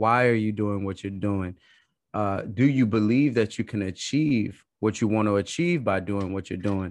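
Speaking in an American accent, a man with a fairly low voice and ordinary pitch variation talks at a moderate pace over a quiet background. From Brooklyn, New York. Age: 30s. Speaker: life coach. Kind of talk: casual chat.

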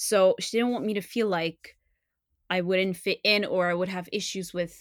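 A woman with a Montreal accent, fairly low-pitched, at a moderate pace, on a very clean recording with a silent background. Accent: Montreal Canadian French-English. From Montreal, Canada. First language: French. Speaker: translator and podcaster. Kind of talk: casual interview chat. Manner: hesitant, many fillers.

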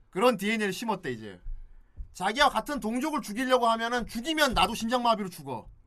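Raising and projecting his voice, a man speaks with an extremely high pitch, an animated, bright, sharp tone and ordinary pitch variation. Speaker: podcast host. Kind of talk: casual chat.

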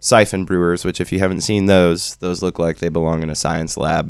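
A man with a very deep, low pitch. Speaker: coffee shop roaster and radio co-host.

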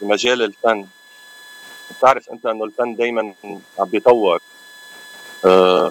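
Moderate-paced male speech with fairly even intonation, dry and close with no echo, over noticeable background noise. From Aleppo, Syria. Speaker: musician. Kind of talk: radio interview.

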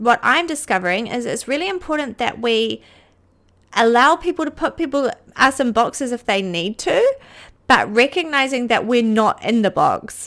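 A woman's high-pitched voice with lively intonation at a moderate pace, on a very clean recording with a silent background. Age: 30s. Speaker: podcast host, intuitive mentor and energy healer. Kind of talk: solo podcast monologue.

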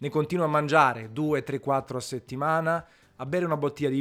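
In an ordinary speaking voice, a man with a fairly high pitch talks at a moderate pace on a very clean recording with a silent background. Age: 40s. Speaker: food podcaster. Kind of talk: casual monologue.

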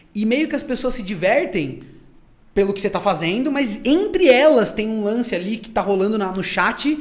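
This man speaks at a moderate pace with a high pitch and lively intonation. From Brazil, interior town. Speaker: content creator, podcast guest. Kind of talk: casual chat.

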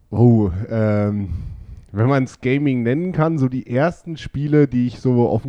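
At a fairly slow pace, a man of medium pitch talks in a plain, everyday voice. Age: 20s. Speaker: podcast guest, gamer. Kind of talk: casual chat.

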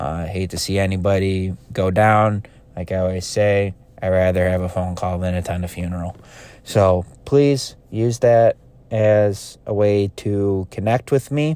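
A man's fairly low, dark and mellow voice at a fairly slow pace. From central New York, US. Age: 20s. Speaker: podcast host and mental health peer worker. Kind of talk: solo podcast monologue. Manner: halting, many fillers.

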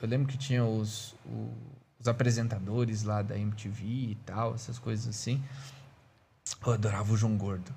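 A man's medium-pitched, somewhat breathy voice in monotone, flat intonation at a moderate pace, with long, frequent pauses. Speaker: podcast co-host. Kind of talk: casual chat.

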